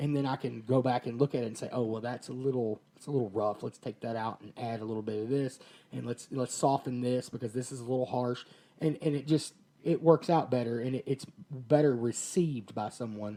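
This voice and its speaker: A man talks at a fairly quick pace. His tone is dark and mellow, and his intonation fairly even. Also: medium pitch for a man, big swings in loudness. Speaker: podcast co-host. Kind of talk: casual chat. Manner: loud; boisterous.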